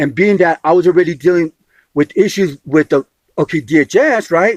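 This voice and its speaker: A man with a high pitch, an animated tone and lively intonation, in a dry, close sound with no echo. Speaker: homeless man disputing an agency appeal. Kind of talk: heated phone dispute. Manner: fast; animated, interrupting.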